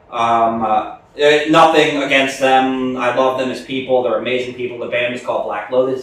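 At a moderate pace with hardly any pauses, the voice keeps fairly even intonation while its loudness swings widely over noticeable background noise. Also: man. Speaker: extreme metal vocalist. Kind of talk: casual interview. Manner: casual, joking.

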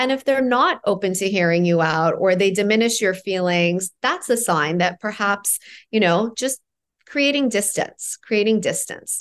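A normal speaking voice from a woman with a Canadian accent, medium pitch, ordinary pitch variation, very even loudness and a moderate pace, against a quiet background. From Toronto, Canada (born in Iran). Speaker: empowerment coach and author. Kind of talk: casual interview chat.

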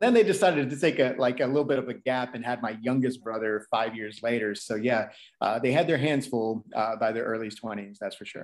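With an American accent and medium pitch, a man in a plain, everyday voice talks at a fairly quick pace with hardly any pauses, ordinary pitch variation, and big swings in loudness. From Texas. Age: 30s. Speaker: DJ. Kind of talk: casual interview.

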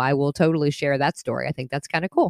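Here a woman talks very fast. The sound is dry and close, without echo. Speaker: podcast host and gardener. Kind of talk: podcast monologue. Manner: broadcast-trained tempo.

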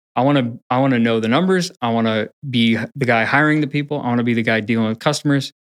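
A man talks very fast at a medium pitch, with hardly any pauses, ordinary pitch variation and very even loudness. The sound is dry and close with no echo, over a quiet background. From Pacific Northwest, from age seven. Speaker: company executive. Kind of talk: casual chat.

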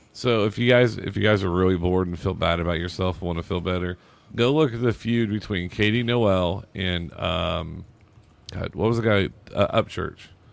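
A man's ordinary speaking voice, fairly low in pitch, with ordinary pitch variation and a moderate pace. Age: 40s. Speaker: DJ and podcaster. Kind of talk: casual chat.

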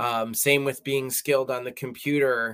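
In a very clean recording with a silent background, a man speaks fairly slowly at a medium pitch, his tone bright and sharp and his intonation fairly even. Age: 40s. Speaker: hospice chaplain and musical writer. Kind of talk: interview.

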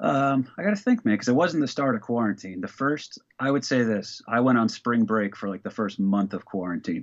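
Lively intonation from a man in a normal speaking voice, medium in pitch, with hardly any pauses. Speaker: comedian. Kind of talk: casual chat. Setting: video call.

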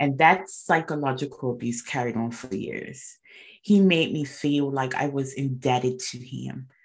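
A woman talks at a fairly slow pace in a very deep, low pitch. Her loudness swings widely, while her pitch varies in an ordinary way. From Bermuda. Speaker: mindset coach. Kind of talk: interview storytelling.

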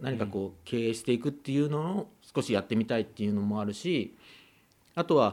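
A man's medium-pitched voice with lively intonation at a fairly quick pace, on a very clean recording with a silent background. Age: 40s. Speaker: farmer, former doctor. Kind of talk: radio interview. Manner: hesitant, many fillers.

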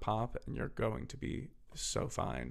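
On a very clean recording with a silent background, a man with an American accent talks in an animated tone with vocal fry. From Philadelphia. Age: 20s. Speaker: podcast co-host and professional singer. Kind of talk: casual chat.

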